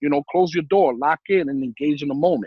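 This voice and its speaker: Animated and energetic, a man with a New York accent talks at a very fast pace with ordinary pitch variation. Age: 40s. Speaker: life insurance agent. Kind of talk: casual interview chat. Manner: animated, repeats words.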